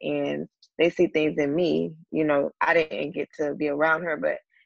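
In a dry, close sound with no echo, a woman talks with an American accent. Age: 20s. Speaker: author and public speaker. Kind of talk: interview.

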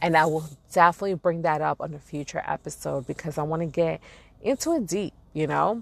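In an animated tone, a woman speaks at a moderate pace. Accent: New York. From Brooklyn, New York. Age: 40s. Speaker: podcast host. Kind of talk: casual monologue.

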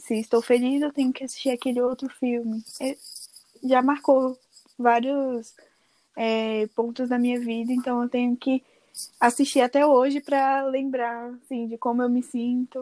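A woman with a high pitch and a dark, mellow tone speaks at a fairly slow pace in a flat monotone, with a dry, close sound and no echo. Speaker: podcast guest. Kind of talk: casual chat.

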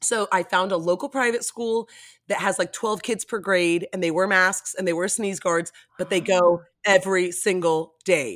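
In a very clean recording with a silent background, a woman with an American accent talks at a moderate pace in a medium pitch. She has an unremarkable speaking voice with ordinary pitch variation, and the sound is dry and close with no echo. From Miami, Florida. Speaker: TV personality. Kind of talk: casual chat.

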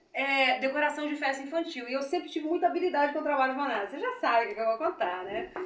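A woman speaks fairly briskly with lively intonation, noticeable background noise behind her. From Rio de Janeiro state, Brazil (Belford Roxo). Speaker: businesswoman, beauty school owner. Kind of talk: interview, life story.

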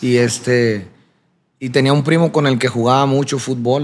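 This man has a plain, everyday voice. He keeps a moderate pace and fairly even intonation. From Sinaloa, Mexico (Culiacán area). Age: 30s. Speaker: singer. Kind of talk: interview.

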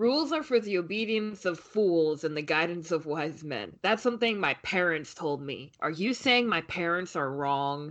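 A woman's ordinary speaking voice, fairly low in pitch, at a moderate pace with lively intonation and hardly any pauses. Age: 20s. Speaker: podcast co-host. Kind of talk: casual chat.

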